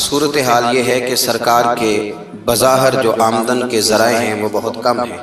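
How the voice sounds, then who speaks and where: Monotone, flat male speech at medium pitch, with music in the background. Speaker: Islamic preacher. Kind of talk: religious sermon. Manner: emotional, passionate.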